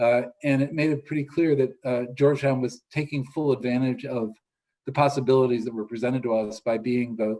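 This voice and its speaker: With a dark, mellow tone and fairly even intonation, a man speaks at medium pitch and a fairly quick pace. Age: 70s. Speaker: law professor. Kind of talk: interview conversation.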